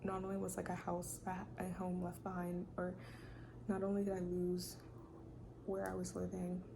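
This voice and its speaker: A woman with a fairly low pitch speaks at a moderate pace in a monotone, flat intonation, with long, frequent pauses. Her loudness stays very even, and room echo is audible. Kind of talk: testimony. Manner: soft-spoken.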